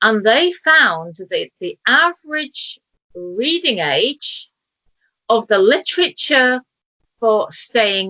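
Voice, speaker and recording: A woman with a British accent speaks very slowly in a bright, sharp tone, her fairly high voice making very wide pitch swings. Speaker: talk show host. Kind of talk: casual interview chat. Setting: video call from kitchen table.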